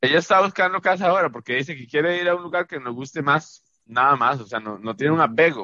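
Barely pausing, a man with a Costa Rican accent talks at a very fast pace in a bright, sharp tone, his intonation lively and his loudness swinging widely. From Costa Rica, San José area (Pavas). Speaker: podcast co-host. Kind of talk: casual chat.

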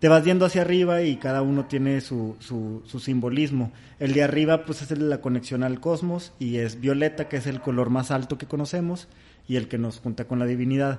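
A man with a fairly high pitch and a dark, mellow tone. He speaks at a fairly quick pace with ordinary pitch variation. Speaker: podcast host. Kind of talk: casual chat.

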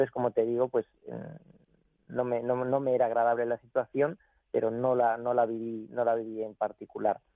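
A man at a medium pitch and moderate pace, monotone and flat, with long, frequent pauses. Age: 40s. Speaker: jockey. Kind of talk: interview.

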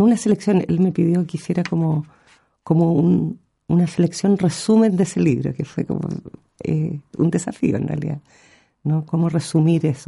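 A woman speaks at a moderate pace with a fairly low pitch and ordinary pitch variation. Her tone is dark and mellow, with vocal fry. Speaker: poet. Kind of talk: interview. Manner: halting.

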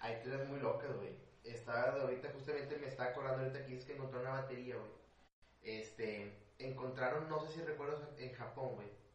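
A man at a fairly quick pace with fairly even intonation, plus audible room echo and noticeable background noise. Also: medium pitch for a man. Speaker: conspiracy theory enthusiast. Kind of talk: casual chat. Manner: stuttering, halting.

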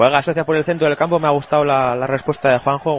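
The tone is animated. A man rattles along at a very fast pace. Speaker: match commentator and reporter. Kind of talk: live sports commentary. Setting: radio show, commentary on a match. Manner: animated, excitable, fast play-by-play delivery.

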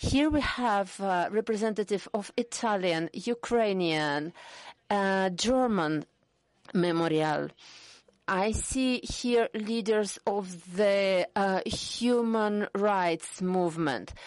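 With a Russian accent, a woman at medium pitch speaks at a very slow pace, her loudness very even and her pitch variation ordinary, against a quiet background. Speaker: human rights activist. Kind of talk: panel discussion.

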